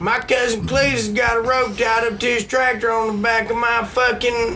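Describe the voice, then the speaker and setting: Against noticeable background noise, a man with an extremely high pitch speaks in a raised, projected voice. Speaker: podcast host. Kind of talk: casual chat. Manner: animated.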